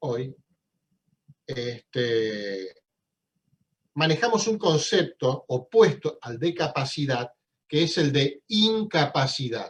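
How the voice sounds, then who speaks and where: A man speaks in a somewhat breathy, fairly high voice, his pitch swinging very widely. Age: 60s. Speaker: law professor. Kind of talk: lecture.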